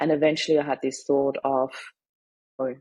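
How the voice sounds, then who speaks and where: With a German accent, a woman speaks at a fairly quick pace in a very deep, low voice, her dark, mellow tone showing vocal fry and monotone, flat intonation. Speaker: grief mindset coach and author. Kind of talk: personal testimony in a podcast interview.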